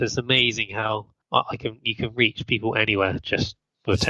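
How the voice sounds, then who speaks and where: This is a man speaking with a British accent. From Britain. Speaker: podcast guest, sports podiatrist.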